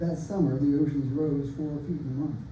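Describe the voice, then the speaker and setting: Audible room echo follows a man as he speaks fairly slowly. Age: 60s. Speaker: open mic poet and author. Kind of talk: casual introduction; reading aloud from own novel. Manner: halting with fillers.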